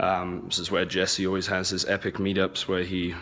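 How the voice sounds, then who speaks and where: A man speaks with a fairly low pitch. His pace is fairly slow. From England and US (half English, half American). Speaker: event organizer, online seller. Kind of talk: casual walkthrough vlog. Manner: casual, many fillers.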